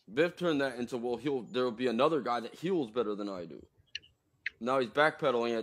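Against light background noise, a man speaks very fast with lively intonation and big swings in loudness. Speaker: livestream host. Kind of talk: debate. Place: home room. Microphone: video call.

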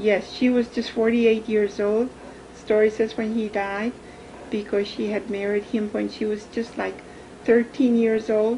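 Delivered in a monotone, flat intonation, the voice comes over light background noise. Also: woman. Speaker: interviewee. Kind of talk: interview answer. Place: home room. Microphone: camera far.

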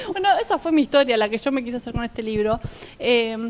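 Lively intonation marks a woman's speech over light background noise. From Argentina. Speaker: talk show host; TV show host. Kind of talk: casual interview. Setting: outdoor café patio. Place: garden. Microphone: handheld.

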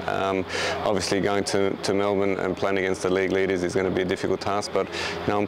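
A man's very deep, low voice, very fast and monotone with flat intonation, over noticeable background noise. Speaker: football head coach. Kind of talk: interview answer. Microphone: lapel.

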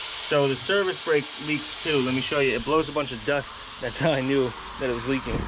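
Noticeable background noise behind speech at a fairly quick pace. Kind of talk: tutorial. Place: open country. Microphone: phone near.

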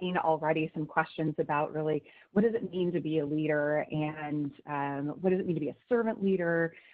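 In an unremarkable speaking voice, the speaker keeps a moderate pace with ordinary pitch variation. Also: woman. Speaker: webinar presenter. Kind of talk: lecture. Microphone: video call.

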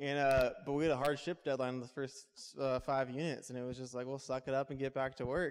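A man with an American accent talks at a very fast pace in a monotone, flat intonation. The background is quiet. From US West Coast. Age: 20s. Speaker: entrepreneur. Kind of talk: talk to a live audience. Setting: stage with audience. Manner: casual, with filler words. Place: hall. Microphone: handheld.

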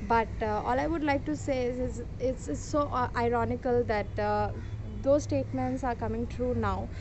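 With fairly even intonation, a woman speaks at a moderate pace and a fairly high pitch.

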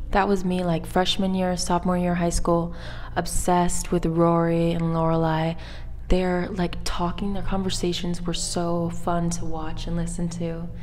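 Over light background noise, a woman talks at a fairly slow pace in a fairly low pitch, her intonation monotone and flat. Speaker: vlogger. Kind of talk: casual vlog chat. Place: hall. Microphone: lapel.

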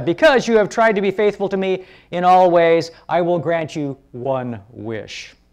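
A booming put-on character voice carries lively intonation at a moderate pace. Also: woman, fairly low pitch for a woman. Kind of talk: reading a story aloud. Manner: grand, commanding.

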